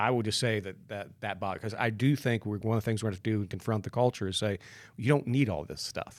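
This man talks at a very fast pace in a fairly low voice. The recording is very clean, with a silent background. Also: ordinary pitch variation. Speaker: podcast host and teaching pastor. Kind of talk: moderated panel discussion. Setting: studio.

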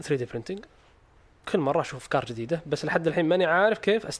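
A man's voice sits high in pitch and moves with lively intonation. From Saudi Arabia, Eastern Province (Khobar). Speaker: startup founder, 3D printing company. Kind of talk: interview, casual chat.

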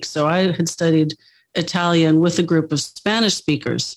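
A woman with a normal speaking voice talks at a moderate pace, with fairly low pitch and fairly even intonation. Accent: American. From United States. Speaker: author and journalist. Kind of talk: interview.

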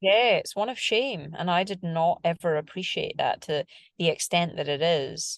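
A woman with a normal speaking voice talks at a moderate pace in a fairly low pitch. The sound is dry and close with no echo, over a quiet background. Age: 40s. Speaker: screenwriter and producer, triathlete. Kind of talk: interview.

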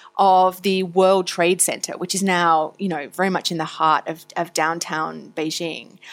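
On a very clean recording with a silent background, a woman speaks at a fairly slow pace in an Australian accent. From Australia (Tasmania, Victoria). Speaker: foreign correspondent. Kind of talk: interview.

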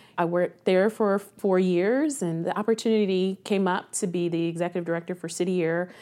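With an American accent, a woman speaks fairly quickly in a fairly low, dark, mellow voice on a very clean recording with a silent background. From Columbus, Ohio. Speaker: nonprofit executive director. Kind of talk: interview.

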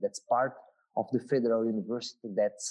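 Speaking with a Portuguese accent, a man has a dark, mellow tone at a medium pitch. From southern Brazil. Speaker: marine biologist. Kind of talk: interview. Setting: video call. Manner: halting.

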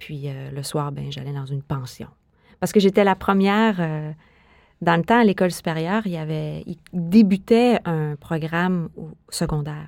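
Delivered at a fairly slow pace, a normal speaking voice shows ordinary pitch variation and big swings in loudness. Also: woman, fairly low pitch for a woman. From Quebec City, Canada. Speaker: dancer and choreographer. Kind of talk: interview.

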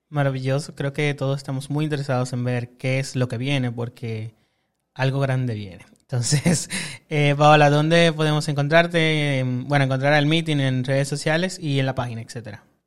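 At a moderate pace, a man speaks in a normal speaking voice with fairly high pitch. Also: fairly even intonation. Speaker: podcast host. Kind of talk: casual interview. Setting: studio.

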